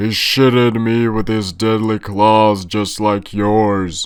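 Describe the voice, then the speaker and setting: A man speaks in a put-on character voice, pitched fairly low. His delivery is flat and monotone, at a very slow pace. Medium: read story.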